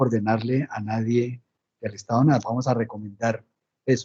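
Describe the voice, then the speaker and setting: At a fairly quick pace, a man talks in a dark, mellow tone that is somewhat breathy. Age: 60s. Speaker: lecturer on peace and truth commission. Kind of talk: Q&A response in online lecture. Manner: halting.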